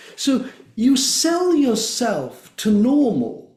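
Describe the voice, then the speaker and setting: The voice has a dark, mellow tone. Audible room echo hangs around it. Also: man. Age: 70s. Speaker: drumming circle facilitator. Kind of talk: interview.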